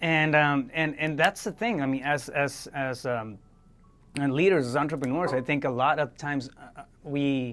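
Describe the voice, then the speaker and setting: There is music in the background. A man talks at a moderate pace with a fairly high pitch and ordinary pitch variation. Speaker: podcast host. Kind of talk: interview. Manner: halting, many fillers and repetitions.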